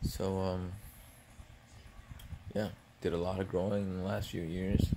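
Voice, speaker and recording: A soft-spoken man's very deep, low voice, dark and mellow, fairly slow and flat in a monotone, over noticeable background noise. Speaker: ASMR vlogger. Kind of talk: ASMR eating video with casual rant. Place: home room. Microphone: phone near.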